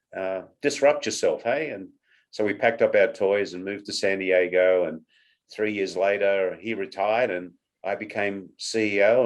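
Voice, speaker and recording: Against a quiet background, a man with an Australian accent talks at a moderate pace in a fairly low pitch, with ordinary pitch variation. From Australia, Sydney. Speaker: company CEO. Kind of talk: interview.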